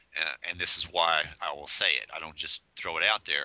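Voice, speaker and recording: At a moderate pace, a man talks with vocal fry. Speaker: comics editor and mentor. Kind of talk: casual chat. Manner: halting.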